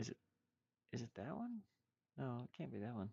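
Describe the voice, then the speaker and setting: At a moderate pace, a man talks in a dark, mellow tone with vocal fry, the sound dry and close with no echo. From Eastern Kentucky (Pike County area). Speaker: game developer streamer. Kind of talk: casual live stream chat. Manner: halting, many repetitions.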